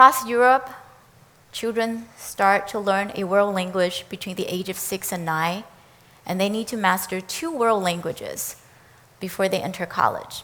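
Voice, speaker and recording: A woman with a Chinese accent, a medium pitch, a bright, sharp tone, ordinary pitch variation and a moderate pace. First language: Mandarin Chinese. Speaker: education professor. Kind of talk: prepared talk. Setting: speaker series event.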